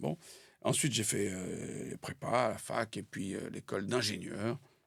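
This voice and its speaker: A man's voice with vocal fry. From France (born in Algeria, schooled in Paris). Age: 60s. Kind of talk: interview. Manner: hesitant with frequent fillers.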